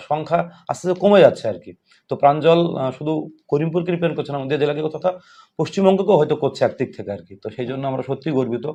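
There are big swings in loudness as a man with a dark, mellow tone speaks at a fairly high pitch with ordinary pitch variation. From West Bengal, Nadia district (Karimpur). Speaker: school teacher and podcast interviewer. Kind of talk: casual interview.

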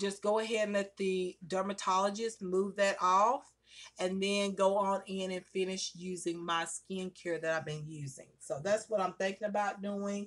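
With fairly even intonation, a woman talks at a moderate pace. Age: 40s. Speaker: beauty vlogger. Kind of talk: makeup tutorial. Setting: at home by a window. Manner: casual, chatty. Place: home room. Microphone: phone near.

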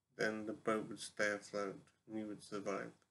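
A man at a fairly slow pace, with light background noise. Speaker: vlogger posing a question. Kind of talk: casual vlog chat. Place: home room. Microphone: webcam.

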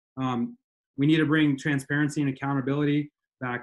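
Against a quiet background, a man of medium pitch speaks at a fairly quick pace in a flat monotone. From Montana, USA. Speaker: politician, state auditor candidate; attorney. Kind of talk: interview answer. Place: home room. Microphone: webcam.

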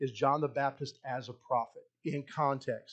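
With a plain, everyday voice, a man talks at a moderate pace and with fairly even intonation against a quiet background. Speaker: pastor. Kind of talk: sermon. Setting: church. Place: church.

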